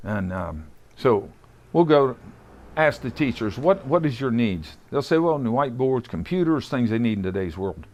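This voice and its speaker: This man talks at a moderate pace in an Appalachian accent. His pitch swings very widely against a quiet background. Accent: Appalachian Ohio. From southeastern Ohio. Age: 70s. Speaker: boxing gym owner. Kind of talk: guided tour. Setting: boxing gym. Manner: casual, halting.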